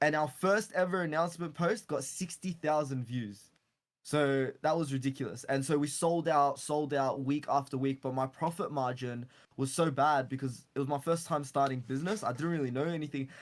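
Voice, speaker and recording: This man's voice sits fairly high in pitch. He keeps ordinary pitch variation and a moderate pace. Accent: Australian. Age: 20s. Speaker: entrepreneur. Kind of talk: casual chat.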